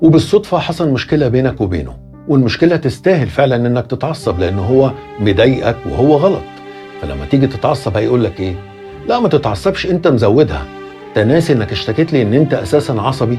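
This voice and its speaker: A man with an Egyptian accent and medium pitch speaks at a moderate pace with very wide pitch swings, with music in the background. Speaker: voiceover narrator. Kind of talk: motivational advice monologue.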